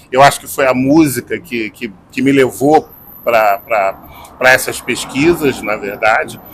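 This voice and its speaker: In a Carioca accent, a man talks at a very slow pace with a medium pitch and ordinary pitch variation. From Rio de Janeiro, Brazil. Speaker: singer-songwriter and journalist. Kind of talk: interview answer.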